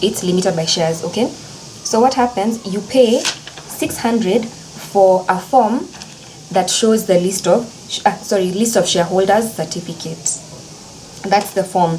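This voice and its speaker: Over noticeable background noise, a woman speaks at a medium pitch with ordinary pitch variation. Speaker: legal educator, video creator. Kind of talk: tutorial. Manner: fast; casual, chatty.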